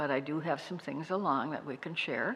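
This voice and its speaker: Intonation here is fairly even. An American accent is audible. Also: woman. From North Dakota, US. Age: 80s+. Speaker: retired nurse and local historian. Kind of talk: interview, personal life story.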